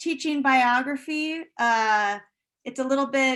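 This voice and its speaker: At a fairly slow pace, a voice with a bright, sharp tone comes through a very clean recording with a silent background. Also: woman. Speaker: art history professor. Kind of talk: conference presentation. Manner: halting.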